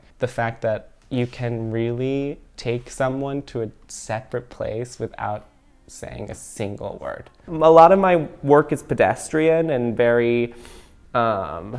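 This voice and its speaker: A man with an American accent speaks at a very slow pace, at medium pitch with ordinary pitch variation. Music plays in the background. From Texas, Dallas area. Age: 20s. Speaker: dancer and choreographer. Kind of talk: documentary interview. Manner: casual, filler-heavy.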